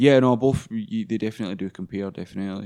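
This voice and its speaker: Speaking very fast with a Glaswegian accent, a man has a dark, mellow tone on a very clean recording with a silent background. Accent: Glaswegian Scottish. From Scotland, Glasgow. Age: 20s. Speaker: English teacher. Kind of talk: casual chat.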